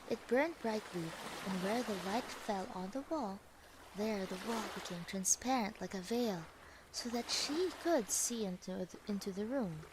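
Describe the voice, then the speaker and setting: Against noticeable background noise, a woman at a medium pitch speaks fairly slowly with lively intonation. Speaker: vtuber storyteller. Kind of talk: fairy tale reading. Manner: soft-spoken.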